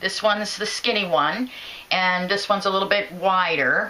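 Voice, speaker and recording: A woman is heard here. Her pace is moderate. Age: 50s. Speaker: product reviewer. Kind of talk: product review tutorial. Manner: hesitant, with fillers. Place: home room. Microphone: phone near.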